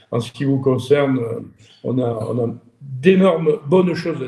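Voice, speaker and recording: A man talks at a fairly slow pace in a dark, mellow tone that is somewhat breathy. His pitch is medium, with ordinary variation. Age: 30s. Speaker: interviewer, shooting sport business. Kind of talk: interview. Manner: hesitant, many repetitions.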